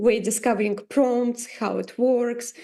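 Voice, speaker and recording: Over a quiet background, a woman with a non-native accent speaks fairly slowly in a high pitch with a dark, mellow tone. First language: not English. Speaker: AI artist. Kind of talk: tutorial. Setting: livestream. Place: home room. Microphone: video call.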